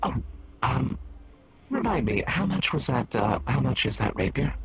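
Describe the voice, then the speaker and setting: In a put-on character voice with a fairly low pitch, a man speaks at a moderate pace over clear background noise. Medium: game stream. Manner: polite, hesitant.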